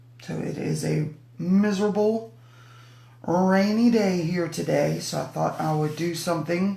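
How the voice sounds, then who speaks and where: A woman talks at a fairly slow pace. Audible room echo and noticeable background noise accompany her. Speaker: craft demonstrator. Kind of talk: live stream craft demo chat. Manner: chatty, casual.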